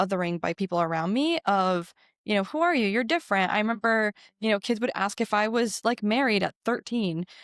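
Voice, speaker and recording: A woman's fairly high-pitched voice with lively intonation, a fairly quick pace and very even loudness, dry and close with no echo in a very clean recording with a silent background. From Georgia, US South (Forsyth County), born abroad to Jordanian-educated parents. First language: Arabic. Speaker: state legislator. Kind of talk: interview.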